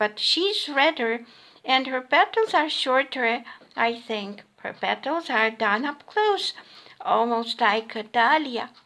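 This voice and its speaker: A put-on character voice from a woman, high-pitched and fairly slow. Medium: read story. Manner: superior, severe.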